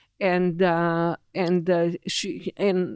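In a very clean recording with a silent background and dry, close sound with no echo, a woman speaks at a fairly low pitch with an Israeli accent. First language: Hebrew. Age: 70s. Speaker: technology executive. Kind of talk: interview. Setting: studio. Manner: halting.

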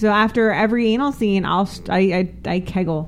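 The speaker talks at a moderate pace with a New Jersey accent. The intonation stays fairly even. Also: woman. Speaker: adult film performer. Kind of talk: casual chat. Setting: studio.

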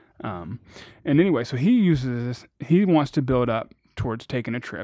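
In an ordinary speaking voice, a man at medium pitch talks at a moderate pace with lively intonation and big swings in loudness over a quiet background. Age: 30s. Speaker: financial independence blogger. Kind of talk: casual chat.

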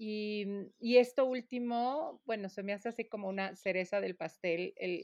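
A woman's ordinary speaking voice, medium in pitch, with fairly even intonation, a moderate pace, a dry, close sound with no echo and a quiet background. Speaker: podcast co-host. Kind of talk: casual interview.

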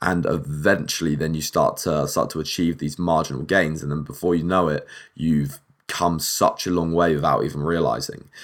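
A man with a husky voice. His pitch sits very deep and low. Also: moderate pace, very clean recording, silent background. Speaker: podcast host. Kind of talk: casual solo monologue. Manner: animated.

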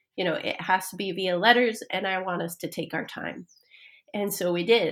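With an American accent, a woman uses an unremarkable speaking voice at a medium pitch and fairly even intonation. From Idaho, US. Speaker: author. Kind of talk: interview.

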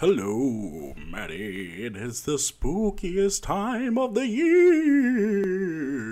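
Using a put-on character voice, a man speaks at a very slow pace with a high pitch. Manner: spooky, eerie.

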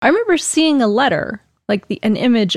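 A quiet woman's voice with lively intonation at a fairly quick pace. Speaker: podcast co-host. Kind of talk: casual chat. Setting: live-streamed recording with chat audience. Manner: very quiet.

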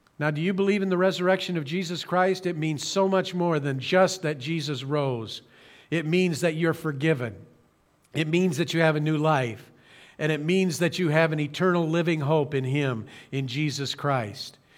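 In a plain, everyday voice, a man with an American accent talks at a moderate pace and fairly high pitch, with ordinary pitch variation. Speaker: pastor. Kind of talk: sermon. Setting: streamed church service, broadcast. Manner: earnest.

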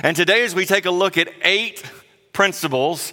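Here is a man with a Southern US accent. He talks at a moderate pace. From South Carolina. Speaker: guest preacher. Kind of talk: sermon. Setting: church.

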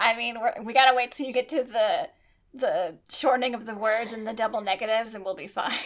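A woman with an American accent, fairly high in pitch, at a fairly quick pace with ordinary pitch variation. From US South. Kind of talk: casual chat. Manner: animated.

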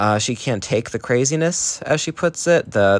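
A man's plain, everyday voice in an American accent, at a moderate pace with ordinary pitch variation. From US, New Jersey. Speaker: listener sending voice message. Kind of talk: recorded voice message.

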